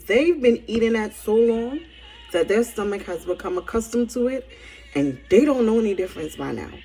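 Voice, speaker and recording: Music plays in the background as a woman talks at a fairly high pitch. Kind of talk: casual spiritual message to camera.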